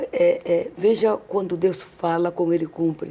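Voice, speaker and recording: A woman speaks with a fairly low pitch. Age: 60s. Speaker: church women's leader, pastor's wife. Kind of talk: testimony.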